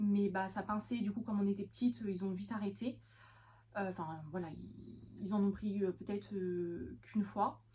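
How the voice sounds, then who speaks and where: A somewhat breathy woman's voice at medium pitch and moderate pace. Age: 20s. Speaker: vlogger and veterinary assistant. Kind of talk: casual vlog talk. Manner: hesitant, many fillers.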